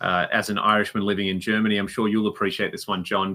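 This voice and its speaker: A man talks with an Australian accent. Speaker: podcast co-host and musician. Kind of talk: casual chat.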